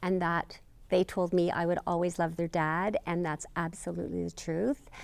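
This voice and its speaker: Very clean recording with a silent background, a woman at a fairly low pitch and a moderate pace. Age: 60s. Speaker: interviewee in documentary. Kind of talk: interview testimony. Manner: halting, many fillers.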